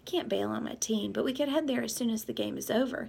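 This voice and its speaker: A woman puts on a raspy character voice. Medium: read story. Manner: calm, mild.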